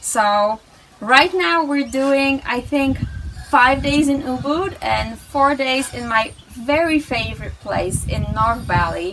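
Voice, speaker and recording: A woman speaks at a very slow pace in a high pitch. Noticeable background noise runs underneath. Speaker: vlogger. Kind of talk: casual vlog chat. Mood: cheerful, laughing. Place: home room. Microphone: phone near.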